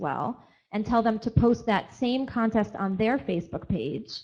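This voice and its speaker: The setting behind her is quiet. A woman talks with ordinary pitch variation. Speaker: company representative on panel. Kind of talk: panel presentation. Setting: conference stage with audience. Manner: fast.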